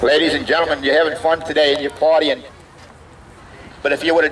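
Over light background noise, a man talks in a monotone with flat intonation. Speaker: evangelist, street preacher. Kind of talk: fire-and-brimstone street sermon. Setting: outdoors, at a biker bar. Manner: loud, fervent, emphatic. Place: street. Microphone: headset.

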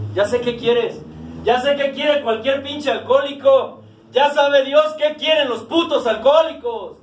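A man speaks at a fairly slow pace with audible room echo. His pitch is extremely high. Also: ordinary pitch variation. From Mexico. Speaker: recovering alcoholic sharing at AA meeting. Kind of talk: testimony. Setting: support group meeting room. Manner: animated. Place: meeting room. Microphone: camera far.

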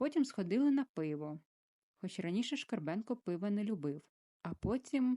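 The words are plainly read aloud against a quiet background.

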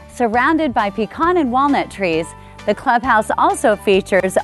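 Music in the background behind a woman's fairly high voice, at a moderate pace with very wide pitch swings. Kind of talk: real estate promotional narration.

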